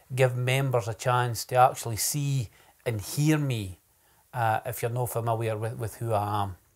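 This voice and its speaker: Recorded very cleanly against a silent background, a man speaks in a Scottish accent at a moderate pace. His voice is somewhat breathy and medium in pitch, with fairly even intonation. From Scotland, Ayrshire (New Cumnock). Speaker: poet and political candidate. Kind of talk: political speech; casual introduction to camera.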